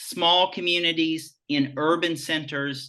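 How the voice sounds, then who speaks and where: In a Southern US accent, a man speaks with a bright, sharp tone against a quiet background. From rural Virginia (Farmville). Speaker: nonprofit association president. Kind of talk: interview discussion.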